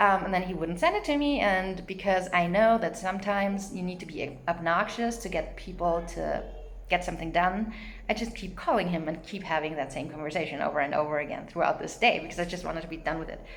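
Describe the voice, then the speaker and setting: A woman with a non-native accent at a very fast pace, medium in pitch with ordinary pitch variation, amid noticeable background noise and audible room echo. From not US or Canada. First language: not English. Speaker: vlogger. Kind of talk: casual monologue. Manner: hesitant, many fillers.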